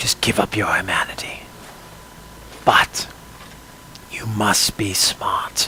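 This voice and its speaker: Using a put-on character voice, a man sounds raspy, with a fairly low pitch and a fairly slow pace. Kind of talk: first-person story narration. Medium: role play. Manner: dark, brooding narration.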